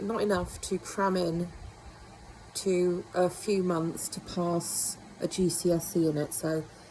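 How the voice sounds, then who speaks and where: Medium-pitched female speech amid noticeable background noise. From northern England. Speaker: beauty treatment vlogger. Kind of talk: casual talk to camera.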